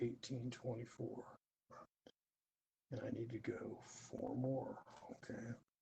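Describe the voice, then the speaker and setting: A man talks very slowly, and long pauses come often. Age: 60s. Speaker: former prison worker sharing quilting hobby. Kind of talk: live stream tutorial chat. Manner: casual with many filler uhs.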